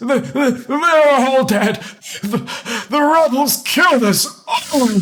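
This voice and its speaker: A man's put-on character voice, extremely high-pitched and shaky, at a very slow pace. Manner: frightened, stammering.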